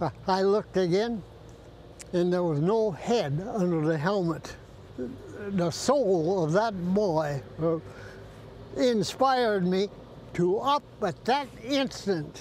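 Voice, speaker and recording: A man speaks at a very slow pace, with long, frequent pauses and lively intonation. The sound is dry with no echo, and there is light background noise. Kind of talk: interview answer. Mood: emotional, reflective. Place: beach.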